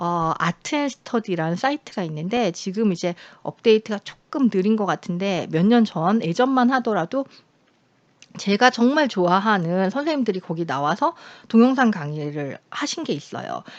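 A woman speaks at a moderate pace and a medium pitch, her pitch swinging very widely, in a dry, close sound with no echo. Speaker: university lecturer in contemporary art. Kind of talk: recorded online lecture. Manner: conversational, many fillers.

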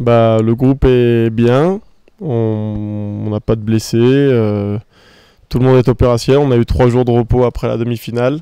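In a dark, mellow tone, the voice goes at a fairly slow pace with fairly even intonation, recorded dry with no echo over a quiet background. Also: man. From France. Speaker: football player. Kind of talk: interview. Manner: halting, many repetitions and fillers. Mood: calm, proud, confident. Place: garden. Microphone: handheld.

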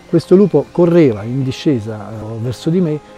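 Faint music plays behind a man speaking at a moderate pace. The sound is dry with no echo. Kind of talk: interview answer, storytelling. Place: open country.

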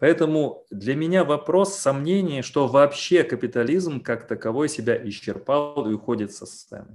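Lively intonation and big swings in loudness mark this man's fairly high-pitched voice. He talks at a moderate pace. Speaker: philosopher; guest. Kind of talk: Q&A discussion. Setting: video call. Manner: long-winded. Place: home room. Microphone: video call.

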